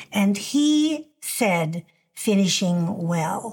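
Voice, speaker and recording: On a very clean recording with a silent background, a woman speaks with a somewhat breathy voice. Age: 70s. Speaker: ministry leader and podcast host. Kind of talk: interview. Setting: studio.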